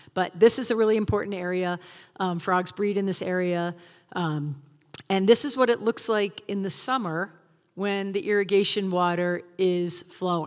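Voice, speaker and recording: A plain, everyday voice from a woman at medium pitch, with ordinary pitch variation, in a very clean recording over a silent background. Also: moderate pace. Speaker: wildlife agency field supervisor giving a talk. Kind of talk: public presentation with slides. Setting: stage with live audience, also streamed.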